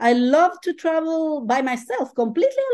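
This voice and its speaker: High pitch and very wide pitch swings from a woman. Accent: Spanish. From Chile. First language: Spanish. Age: 50s. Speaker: ultrarunner and life coach. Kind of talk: interview.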